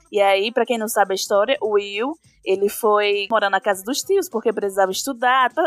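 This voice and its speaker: At a moderate pace, a woman uses an ordinary speaking voice with a fairly high pitch and fairly even intonation, in a dry, close sound with no echo. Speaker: podcast co-host. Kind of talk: casual chat.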